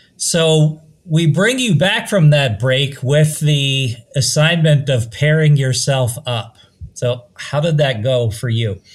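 Somewhat breathy, a man speaks at a very slow pace. His pitch is fairly high, with ordinary variation. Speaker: podcast host. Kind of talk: casual podcast chat.

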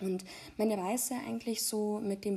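With a dark, mellow tone, a woman's somewhat breathy voice comes through. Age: 20s. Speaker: podcast host, mother. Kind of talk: personal monologue. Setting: recording at home. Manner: hesitant, many filler sounds.

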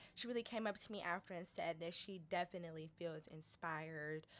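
A woman with an American accent speaks at a moderate pace in a normal speaking voice. Her pitch is fairly low and her intonation fairly even. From Detroit, Michigan. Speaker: social enterprise founder and day trader. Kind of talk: interview, casual chat.

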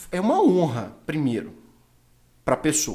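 A man with a medium pitch talks at a fairly slow pace, his pitch swinging very widely. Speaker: podcast host. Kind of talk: casual chat.

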